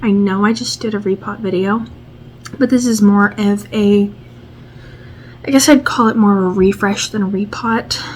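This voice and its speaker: Soft-spoken and at a medium pitch, a woman talks at a moderate pace with fairly even intonation and long, frequent pauses over noticeable background noise. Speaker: plant vlogger. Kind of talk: casual vlog tutorial. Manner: quiet, soft-spoken; hesitant, many fillers.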